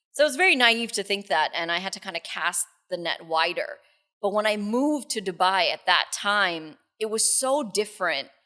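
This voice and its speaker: With a New York accent, this voice has a bright, sharp tone, lively intonation and a moderate pace. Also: woman, medium pitch for a woman. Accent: New York American. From New York City, US. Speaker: radio co-host. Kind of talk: podcast interview.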